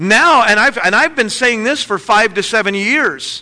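A man's raised, projected voice, bright and sharp in tone, with lively intonation at a fairly quick pace. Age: 40s. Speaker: pastor. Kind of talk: sermon.

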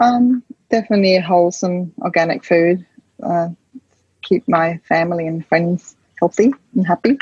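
A woman with a Danish accent talks at a moderate pace in a fairly low pitch, with ordinary pitch variation. Her speech has long, frequent pauses, and the sound is dry and close with no echo. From rural west coast of Denmark. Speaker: chef and cafe owner. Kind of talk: interview.

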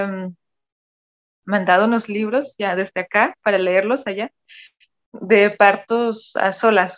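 A woman's very slow speech broken by long, frequent pauses. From Germany, Cologne. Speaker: photographer and dancer. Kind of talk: personal storytelling interview.

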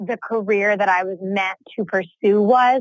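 A woman with an American accent has an ordinary speaking voice, fairly high in pitch with ordinary pitch variation, recorded with a dry, close sound and no echo. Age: 20s. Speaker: entrepreneur and business coach. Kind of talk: interview.

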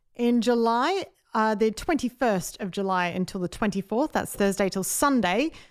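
At a moderate pace, a woman speaks in a fairly high pitch with lively intonation. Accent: Australian. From South Australia, Adelaide. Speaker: podcast co-host, comedian. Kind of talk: casual chat. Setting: office.

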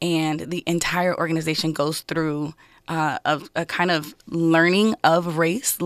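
A woman's fairly low, monotone voice with flat intonation and a Californian accent, in a dry, close sound with no echo and a very clean recording against a silent background. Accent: Californian American. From Los Angeles, US. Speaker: political candidate. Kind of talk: radio interview. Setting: studio.

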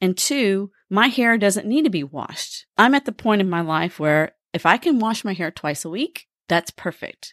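A woman with an ordinary speaking voice, medium in pitch, uses lively intonation. The recording is very clean, with a silent background and a dry, close sound with no echo. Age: 50s. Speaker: podcast host. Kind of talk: scripted narration.

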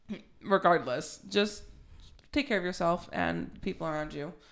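A woman talks at a moderate pace, fairly low in pitch with vocal fry. The recording is very clean, with a silent background. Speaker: podcast host. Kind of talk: casual chat about mental health. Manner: casual, laughs often, stumbles over words.

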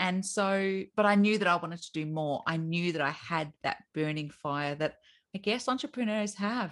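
With an Australian accent, a woman speaks at a moderate pace, her fairly low pitch showing ordinary variation. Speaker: business owner. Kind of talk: casual interview chat.

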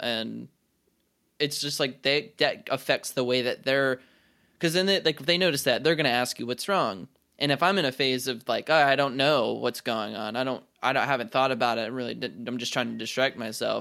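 Fairly quick and bright, sharp in tone, a man's voice carries vocal fry and ordinary pitch variation. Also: medium pitch for a man, very clean recording, silent background. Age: 20s. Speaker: podcast co-host. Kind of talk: casual chat.

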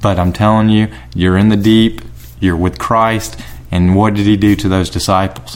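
A man with a Southern US accent and a fairly low voice speaks at a moderate pace, his loudness very even. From South Carolina, Lexington County. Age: 30s. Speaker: trust and estate planner. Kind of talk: casual interview. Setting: home kitchen studio.

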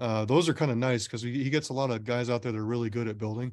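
Against a quiet background, a man with an American accent talks in an ordinary speaking voice at medium pitch with fairly even intonation. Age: 30s. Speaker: scale model car builder. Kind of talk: casual chat.

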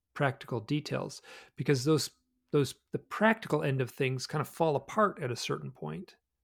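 With an American accent, a man speaks at a medium pitch with lively intonation in an ordinary speaking voice, on a very clean recording with a silent background. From US Midwest, Michigan. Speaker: author and researcher of UFO experiences. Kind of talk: casual interview chat.

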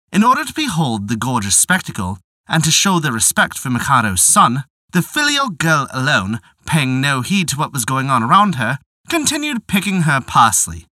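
A man speaks at a moderate pace with a fairly high pitch. His voice swings very widely in pitch. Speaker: storyteller narrator. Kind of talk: fairy-tale narration. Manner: measured, storyteller's pace; formal, old-fashioned storybook diction.

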